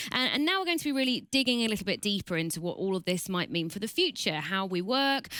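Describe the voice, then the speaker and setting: A woman speaks with a British accent. Her tone is bright and sharp, with very wide pitch swings. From Britain. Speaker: journalist and event moderator. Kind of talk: online event hosting. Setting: studio, online event.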